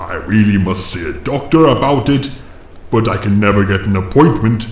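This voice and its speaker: A put-on character voice with a slight echo. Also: man. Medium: audio drama. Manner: dry, condescending.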